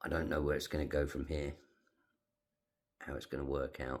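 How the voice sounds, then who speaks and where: A man's very deep, low voice, monotone and flat, with vocal fry. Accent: British. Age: 60s. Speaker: retired navy veteran with emphysema. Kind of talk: personal vlog.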